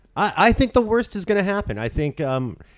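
A man with an American accent and an unremarkable speaking voice, lively intonation and a fairly quick pace on a very clean recording with a silent background. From Southern California, Orange County. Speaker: political podcast co-host. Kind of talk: casual chat.

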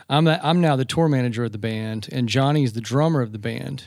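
A man talks at a fairly quick pace. His medium pitch shows ordinary variation. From US South, Georgia. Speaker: band tour manager and former drummer. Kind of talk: casual interview. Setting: hotel room.

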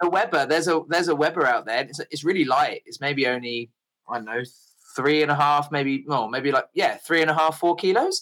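With an English accent, a man speaks at a fairly quick pace in a fairly high pitch, with ordinary pitch variation and a bright, sharp tone. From England. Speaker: bike traveller. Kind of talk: casual chat. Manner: halting.

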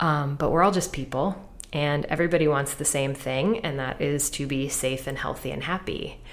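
Speaking in an American accent with hardly any pauses, a woman uses a very deep, low pitch, moderate pace and ordinary pitch movement while the room echo stays audible. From Pennsylvania. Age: 30s. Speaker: writer. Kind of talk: interview; storytelling on stage. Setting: stage with audience.

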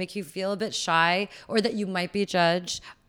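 On a very clean recording with a silent background, a woman speaks at a fairly quick pace and medium pitch in an unremarkable speaking voice. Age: 30s. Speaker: podcast guest. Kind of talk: casual chat.

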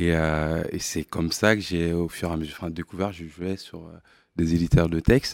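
A man with a very deep, low pitch talks at a moderate pace with big swings in loudness on a very clean recording with a silent background. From Mali. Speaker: tech company CEO. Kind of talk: interview. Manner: halting.

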